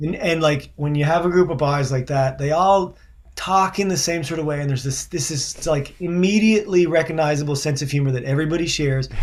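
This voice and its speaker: With hardly any pauses, a man at a fairly high pitch talks at a fairly quick pace with ordinary pitch variation. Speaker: singer-songwriter. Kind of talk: casual chat. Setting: video call.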